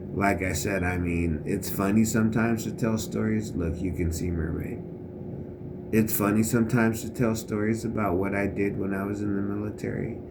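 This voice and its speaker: Audible room echo surrounds a man with an American accent and a fairly low pitch. He talks at a moderate pace with fairly even intonation. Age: 50s. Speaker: vlogger, military veteran. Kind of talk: casual monologue. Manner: halting, many fillers.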